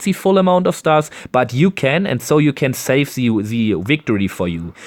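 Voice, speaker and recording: A man speaks at a moderate pace with a German accent, his pitch swinging very widely. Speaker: gaming YouTuber. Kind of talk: tutorial. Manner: halting.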